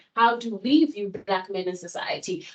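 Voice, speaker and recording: A woman speaks at a medium pitch with ordinary pitch variation. She has a plain, everyday voice. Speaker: seminar panelist. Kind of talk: academic seminar presentation.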